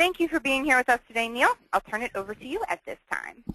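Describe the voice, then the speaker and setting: In a raised, projected voice, a woman speaks at a high pitch with a bright, sharp tone and very wide pitch swings. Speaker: webinar host introducing the speaker.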